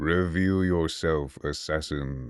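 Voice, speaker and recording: A man's put-on character voice, very deep and low in pitch, over a quiet background. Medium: read story. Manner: calm, cold, unafraid.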